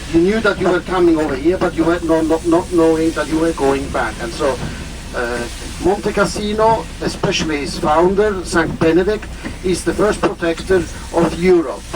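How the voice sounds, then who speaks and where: Over noticeable background noise, a man speaks at a moderate pace in a high pitch with ordinary pitch variation. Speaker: tour guide. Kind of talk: guided tour talk. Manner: halting, many fillers.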